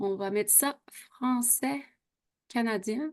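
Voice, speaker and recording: In a Quebec accent, a woman speaks at a very slow pace, her high voice bright and sharp with ordinary pitch variation. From Quebec, Saguenay region. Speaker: beauty product sales consultant. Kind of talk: online sales presentation. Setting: video call. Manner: animated.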